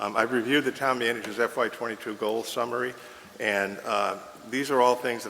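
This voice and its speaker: Speaking with an American accent, a man goes at a fairly quick pace in a medium pitch. His intonation is fairly even, and background noise is noticeable. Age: 70s. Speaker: town manager candidate. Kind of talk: job interview. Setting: council chambers. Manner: halting.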